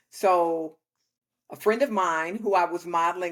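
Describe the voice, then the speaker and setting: In a normal speaking voice, a woman talks at a fairly low pitch and a fairly slow pace on a very clean recording with a silent background. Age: 60s. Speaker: tradeswoman and workwear founder. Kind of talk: interview. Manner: conversational.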